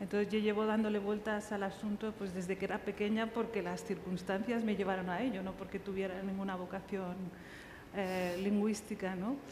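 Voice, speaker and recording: Over noticeable background noise and audible room echo, a woman at medium pitch talks at a moderate pace in a monotone, flat intonation. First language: Riffian Berber (Tamazight) (speaking Spanish). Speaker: writer. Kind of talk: panel discussion. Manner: halting.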